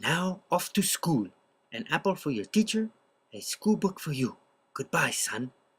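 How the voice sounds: Lively intonation colors a natural reading voice.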